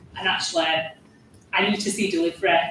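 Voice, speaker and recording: Noticeable background noise sits behind a woman with a strong Yorkshire accent. She talks at a very fast pace. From Yorkshire, Huddersfield. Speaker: parliamentary candidate. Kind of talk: panel discussion.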